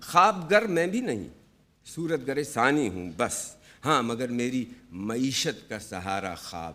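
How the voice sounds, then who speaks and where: A man's medium-pitched voice with vocal fry, very wide pitch swings and big swings in loudness. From Pakistan. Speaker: television artist. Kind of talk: poetry reading.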